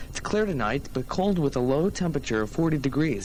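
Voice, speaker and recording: An American accent comes through at a very fast pace with very wide pitch swings. Noticeable background noise sits behind the speech. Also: man. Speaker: college radio DJ. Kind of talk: college radio show host patter. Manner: casual, chatty, upbeat.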